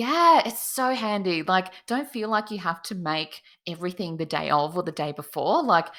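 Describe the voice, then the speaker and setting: The tone is bright and sharp. Intonation is lively throughout. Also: woman, medium pitch for a woman, moderate pace. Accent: Australian. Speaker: cake designer. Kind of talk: interview.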